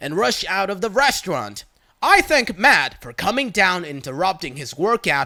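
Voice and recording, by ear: A natural voice, reading out loud.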